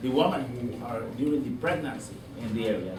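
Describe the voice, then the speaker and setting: Speaking at a fairly quick pace with ordinary pitch variation, a man with a Honduran accent is heard over noticeable background noise and audible room echo. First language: Spanish or Garifuna. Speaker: doctor and activist. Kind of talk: presentation to community audience. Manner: halting.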